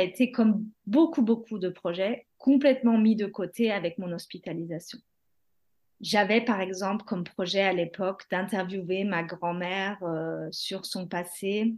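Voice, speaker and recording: A woman's calm, medium-pitched voice at a fairly slow pace, with ordinary pitch variation and a quiet background. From France or Germany, bicultural. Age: 30s. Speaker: mother sharing mental health story. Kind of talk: testimony.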